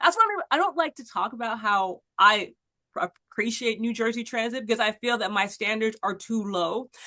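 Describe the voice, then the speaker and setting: With an animated tone and an American accent, a woman talks at a moderate pace in a fairly high pitch, recorded dry and close with no echo. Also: ordinary pitch variation. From Los Angeles, US West Coast. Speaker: podcast host. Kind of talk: interview, casual chat. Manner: halting, many fillers and restarts.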